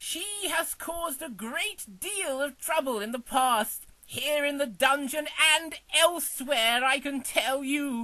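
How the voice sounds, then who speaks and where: Putting on a character voice, a man talks at a fairly slow pace with an extremely high pitch. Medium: audio drama.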